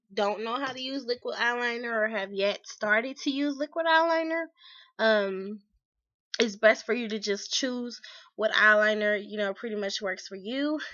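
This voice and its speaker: A woman talks at a moderate pace with ordinary pitch variation and long, frequent pauses. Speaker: beauty vlogger. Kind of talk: tutorial. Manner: casual, hesitant with fillers.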